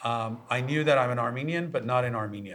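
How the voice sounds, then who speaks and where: A man with an American accent, medium pitch, ordinary pitch variation and a fairly quick pace. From US, Los Angeles. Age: 40s. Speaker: tech executive. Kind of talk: podcast interview.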